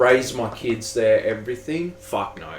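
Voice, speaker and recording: A man with an Australian accent speaks at a fairly slow pace against noticeable background noise. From Australia, Sydney (Granville). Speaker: music producer. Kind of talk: casual chat.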